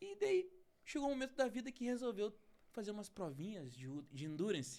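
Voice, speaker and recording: A man with a high pitch speaks in an animated tone. His pitch swings very widely. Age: 30s. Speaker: podcast host. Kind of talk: interview podcast.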